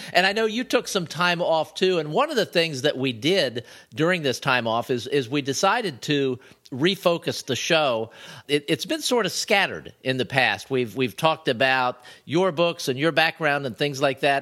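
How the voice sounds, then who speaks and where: A man speaks at a moderate pace with a fairly high pitch, lively intonation and a bright, sharp tone. The recording is very clean, with a silent background. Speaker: podcast co-host and writer. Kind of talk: casual chat. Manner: smiling, cheerful.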